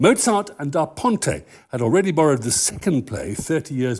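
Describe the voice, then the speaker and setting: A man talking at a fairly quick pace with vocal fry and very wide pitch swings, in a very clean recording with a silent background. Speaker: pre-performance talk host at an opera house. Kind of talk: public talk and panel interview. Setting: stage with audience. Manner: formal.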